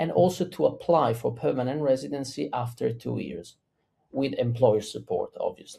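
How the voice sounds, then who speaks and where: A man speaks with an Italian accent. His pace is moderate. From Italy. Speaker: immigration lawyer. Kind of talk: interview.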